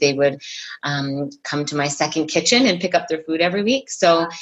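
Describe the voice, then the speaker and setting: This woman talks at a moderate pace with a Canadian accent. Her pitch is fairly low, in a normal speaking voice. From Ontario, Canada. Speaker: fitness and nutrition coach. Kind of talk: casual interview.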